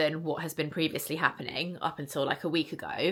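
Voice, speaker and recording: Speaking at a moderate pace, a woman with a British accent has a fairly low pitch, a bright, sharp tone and monotone, flat intonation. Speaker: vlogger. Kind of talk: casual vlog. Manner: chatty, frequent ums.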